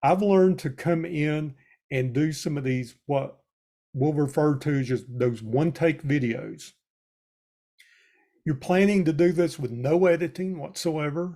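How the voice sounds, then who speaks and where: A man with a Southern US accent speaks at a fairly slow pace in a fairly high pitch, his dark, mellow tone rising and falling in an ordinary way between long, frequent pauses. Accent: Southern US drawl. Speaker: extension educator. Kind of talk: webinar presentation. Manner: conversational.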